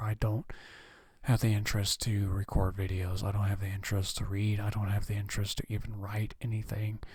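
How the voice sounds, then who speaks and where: A somewhat breathy man talks at a moderate pace with monotone, flat intonation. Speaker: gaming vlogger. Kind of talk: casual vlog monologue. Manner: halting, many fillers.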